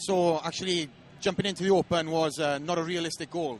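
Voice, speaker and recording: With a Welsh accent, a man speaks at a high pitch in fairly even intonation. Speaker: professional bodybuilder. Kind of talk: interview. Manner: hesitant, many fillers.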